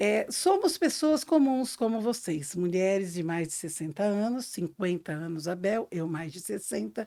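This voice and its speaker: On a very clean recording with a silent background, a woman with a dark, mellow tone speaks at a medium pitch and a fairly slow pace, her pitch swinging very widely with hardly any pauses. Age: 60s. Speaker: podcast co-host, reflexologist. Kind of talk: casual podcast chat.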